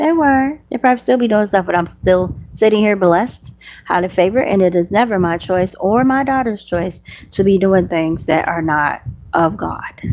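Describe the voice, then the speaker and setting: A medium-pitched woman with a Southern US accent, an animated tone and lively intonation. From US South. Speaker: faith vlogger and podcaster. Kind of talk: casual monologue. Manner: fast.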